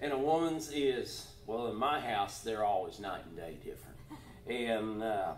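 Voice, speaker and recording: A man speaks fairly slowly with lively intonation. The room echo is audible, with light background noise. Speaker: pastor. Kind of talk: church announcements. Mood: warm, joking. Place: church. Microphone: camera far.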